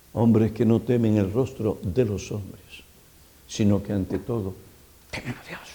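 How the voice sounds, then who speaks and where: A man talks fairly slowly in a fairly low, somewhat breathy voice with a dark, mellow tone. His intonation is fairly even, broken by long, frequent pauses. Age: 70s. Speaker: pastor. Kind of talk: sermon.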